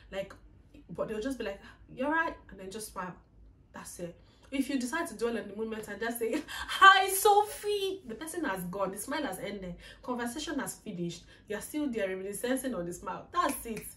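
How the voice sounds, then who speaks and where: With a Nigerian accent, a woman of fairly high pitch speaks at a fairly quick pace in an animated tone with very wide pitch swings, over noticeable background noise. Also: big swings in loudness. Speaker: YouTuber. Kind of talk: casual vlog monologue.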